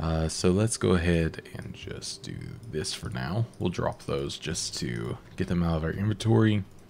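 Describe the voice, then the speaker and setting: A man keeps a moderate pace, with noticeable background noise audible throughout. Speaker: gaming YouTuber. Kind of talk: let's play commentary. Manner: filler words and hesitations.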